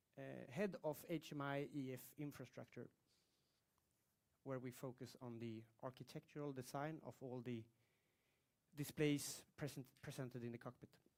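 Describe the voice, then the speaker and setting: Long, frequent pauses break up a man's speech at a moderate pace. His pitch is medium and his intonation fairly even. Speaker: engineer giving a talk on cockpit displays. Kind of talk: technical presentation.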